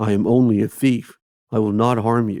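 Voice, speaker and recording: Putting on a character voice, a man speaks at a moderate pace and medium pitch with monotone, flat intonation. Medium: read story. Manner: terse, muttering.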